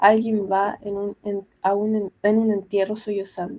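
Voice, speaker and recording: A woman speaks at a fairly high pitch. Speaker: student. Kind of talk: reading aloud.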